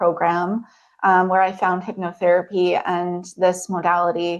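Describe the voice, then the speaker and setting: A soft-spoken woman talks at a fairly slow pace. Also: quiet background. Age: 30s. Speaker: hypnotherapist. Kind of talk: presentation talk. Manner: hesitant, many fillers.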